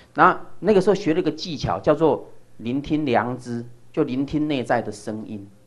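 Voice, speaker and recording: At a moderate pace, a man with a fairly high pitch and lively intonation speaks in a plain, everyday voice. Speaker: lecturer. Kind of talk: lecture.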